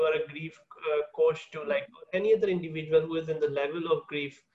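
Fairly even intonation marks this man's high-pitched voice at a fairly quick pace. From a developing country. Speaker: podcast host. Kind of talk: interview conversation. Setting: remote call.

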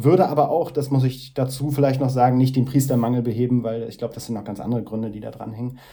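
Very fast delivery from a man, dark and mellow in tone, with fairly even intonation. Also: medium pitch for a man, big swings in loudness. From northeastern Germany, Mecklenburg. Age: 30s. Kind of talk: interview. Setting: video call. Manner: halting.

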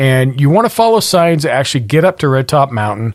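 An ordinary speaking voice, a man with an American accent talks at a fairly quick pace with a fairly high pitch and lively intonation on a very clean recording with a silent background. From Montana. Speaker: podcast host. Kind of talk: casual chat.

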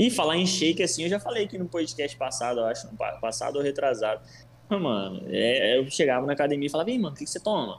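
Amid noticeable background noise, a man with a fairly high pitch talks at a very fast pace through very wide pitch swings. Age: 20s. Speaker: nutritionist. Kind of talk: casual chat.

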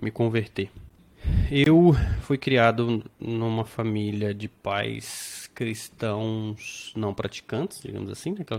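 This man talks very slowly. His medium pitch shows ordinary variation. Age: 30s. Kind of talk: casual interview with personal testimony.

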